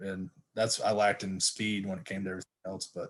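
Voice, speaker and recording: A man speaks at a fairly quick pace. He has a Texan accent. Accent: Texas country. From Texas, Stephenville. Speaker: football coach, former college athlete. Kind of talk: casual interview chat.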